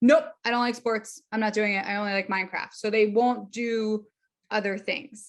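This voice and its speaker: A woman at a moderate pace with an animated tone. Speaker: speech therapist and social skills educator. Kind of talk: webinar presentation.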